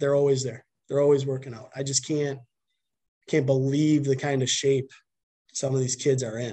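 With a Wisconsin accent, a man speaks at a moderate pace and a fairly high pitch, his voice somewhat breathy and dark and mellow in tone. His intonation is monotone and flat, broken by long, frequent pauses. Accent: Upper Midwest (Wisconsin) American. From Wisconsin (Milton, dairy farm). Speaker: high school baseball coach. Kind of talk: podcast interview.

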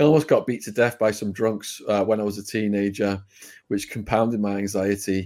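A man with a British accent speaks at a fairly quick pace in a dark, mellow tone and fairly even intonation, on a very clean recording with a silent background. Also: fairly low pitch for a man. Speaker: ex-prisoner turned YouTuber. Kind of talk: storytelling interview.

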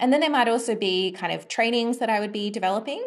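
In an Australian accent, this woman speaks with ordinary pitch variation. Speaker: design and UX research consultant. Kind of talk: interview.

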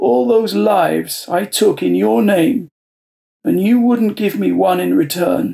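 A put-on character voice speaks at a fairly slow pace. Its loudness stays very even. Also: man, high pitch for a man. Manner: blunt, bitter, rough with anger.

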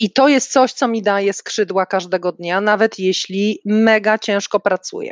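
A woman speaks in a plain, everyday voice at medium pitch and a moderate pace, with fairly even intonation, hardly any pauses, and a dry, close sound with no echo against a quiet background. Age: 50s. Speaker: corporate manager. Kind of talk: interview. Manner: formal.

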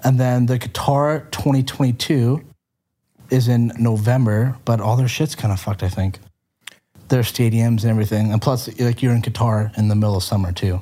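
A man with a Canadian accent, somewhat breathy, with a dark, mellow tone, medium pitch, fairly even intonation, very even loudness and a moderate pace. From Canada. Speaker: podcast guest. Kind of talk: casual chat.

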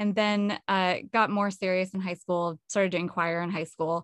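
An ordinary speaking voice moves along at a fairly quick pace. The intonation stays fairly even. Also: woman. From California. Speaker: vocalist and songwriter. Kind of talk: casual interview chat.

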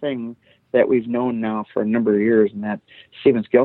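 This is a man with an Upper Midwest accent. His pitch sits in the medium range. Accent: Upper Midwest American. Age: 50s. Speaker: former prosecutor. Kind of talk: interview.

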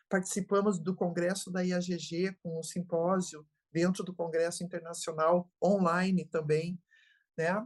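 A woman with a fairly low voice speaks fairly slowly in a flat monotone over a quiet background. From Brazil, interior of Santa Catarina. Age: 70s. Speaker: geriatrician. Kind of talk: interview.

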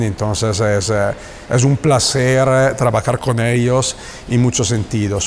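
An Italian accent at a fairly slow pace, fairly even intonation, with noticeable background noise. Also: man. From northern Italy, Bergamo. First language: Italian (speaking Spanish). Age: 40s. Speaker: plant manager. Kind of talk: interview. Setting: next to a factory floor. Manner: halting.

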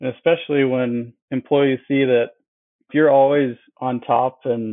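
Using an ordinary speaking voice, a man talks with an American accent in a medium pitch and fairly even intonation. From Wisconsin. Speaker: dentist and practice owner. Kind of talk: casual interview.

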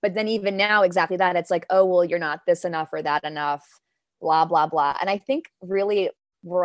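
An unremarkable speaking voice with an American accent moves at a moderate pace with ordinary pitch variation, recorded very cleanly against a silent background, with a dry, close sound and no echo. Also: woman. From Denmark, now New York. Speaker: poet and actor. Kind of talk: poetry reading and casual interview.

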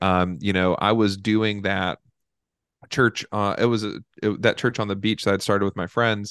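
An American-accented man speaks at a moderate pace in a normal speaking voice, fairly low in pitch with fairly even intonation, in a dry, close sound with no echo over a quiet background. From Charlotte, North Carolina. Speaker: youth pastor. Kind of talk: interview, personal testimony.

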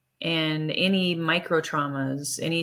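Recorded very cleanly against a silent background, a woman speaks in a fairly low pitch with a bright, sharp tone and fairly even intonation. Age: 40s. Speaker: podcast host and health coach. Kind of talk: solo monologue podcast. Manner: casual, with filler words and laughs.

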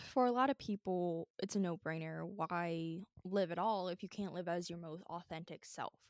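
A woman talks at a moderate pace with hardly any pauses, in an ordinary speaking voice with a fairly low pitch, and the sound is dry and close with no echo. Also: ordinary pitch variation. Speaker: podcast co-host. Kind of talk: casual chat. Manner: casual, laughs often.

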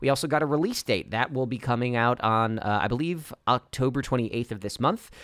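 A man speaks at a moderate pace and medium pitch in a normal speaking voice, with ordinary pitch variation, on a very clean recording with a silent background. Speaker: podcast host. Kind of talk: casual chat.

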